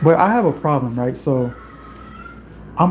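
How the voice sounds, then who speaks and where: Fairly high in pitch, a man talks with fairly even intonation over noticeable background noise. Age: 20s. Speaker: youtuber, musician. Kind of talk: livestream chat. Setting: home livestream. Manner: casual, conversational.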